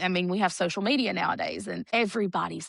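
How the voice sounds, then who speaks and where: A woman with a Southern accent at a moderate pace, in a dry, close sound with no echo against a quiet background. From Alabama, Warrior. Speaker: singer and TV talent show contestant. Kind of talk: interview. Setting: studio.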